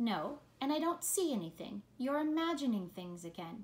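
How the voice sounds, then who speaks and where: This woman uses a put-on character voice, high-pitched and swinging very widely in pitch. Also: moderate pace. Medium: read story. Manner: dismissive, sneering.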